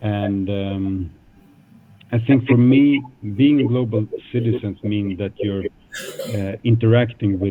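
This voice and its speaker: Using a fairly low pitch and ordinary pitch variation, a man with a Swedish accent speaks at a very slow pace with long, frequent pauses. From Sweden, Stockholm suburbs. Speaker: guest speaker at a school. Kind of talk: talk to school students. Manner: hesitant, many fillers.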